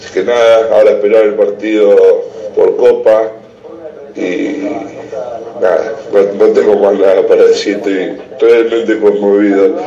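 A man speaks at a fairly slow pace with long, frequent pauses and big swings in loudness, along with audible room echo and noticeable background noise. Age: 30s. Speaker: caller. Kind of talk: casual chat. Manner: halting.

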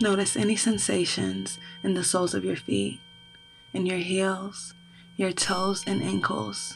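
A woman talks in a soothing, calm tone at a very even loudness. Noticeable background noise sits behind her. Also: fairly slow pace. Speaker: podcast host and meditation guide. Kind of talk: guided meditation. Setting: studio with background music and chimes. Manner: slow, soothing and calm, with gentle pacing and long pauses; casual, warm and chatty in the intro.

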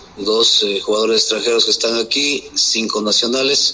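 Through audible room echo and noticeable background noise, a man can be heard talking. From Quito, Ecuador. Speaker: football coach. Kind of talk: press conference.

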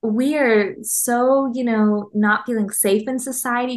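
This woman has an unremarkable speaking voice, fairly high in pitch, with ordinary pitch variation. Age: 30s. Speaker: clinical psychologist and author. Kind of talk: casual interview.

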